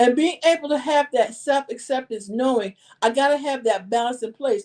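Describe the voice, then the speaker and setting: A loud woman's voice in an American accent, dark and mellow in tone, with ordinary pitch variation and a moderate pace. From New York. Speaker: life coach. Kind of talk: podcast interview.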